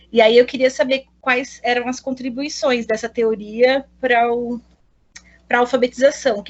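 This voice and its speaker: The woman's voice is high in pitch and moves at a moderate pace. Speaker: pedagogy student. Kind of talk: thesis defense presentation. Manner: halting.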